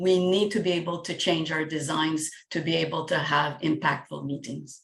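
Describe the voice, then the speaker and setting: With a strong French accent, this voice speaks at a moderate pace, somewhat breathy, with fairly even intonation. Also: woman, very deep, low pitch for a woman. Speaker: facilitator and coach. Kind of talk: casual group discussion. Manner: halting, repeats words.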